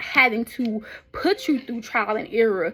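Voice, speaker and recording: A woman with a fairly high voice talks while noticeable background noise carries on. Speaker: vlogger and author in the medical field. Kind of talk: casual spiritual monologue. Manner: fast; animated.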